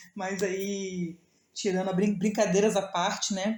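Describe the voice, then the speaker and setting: The woman's voice sits at a medium pitch. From Rio de Janeiro, Brazil. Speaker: devotional leader. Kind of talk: devotional talk. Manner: halting, repeats words; slurred diction, heavy S/X sounds.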